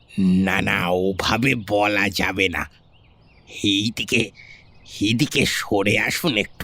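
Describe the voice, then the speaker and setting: Using a put-on character voice, a man speaks at a very slow pace with a fairly low pitch and fairly even intonation. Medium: audio drama. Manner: hesitant, ingratiating, secretive.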